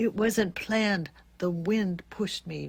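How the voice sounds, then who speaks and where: In a put-on character voice at middle pitch, the speaker talks at a fairly slow pace. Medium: read story.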